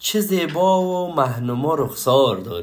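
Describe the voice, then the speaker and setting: Audible room echo surrounds the voice. A man speaks at a very slow pace. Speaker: poetry reciter. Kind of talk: reading aloud.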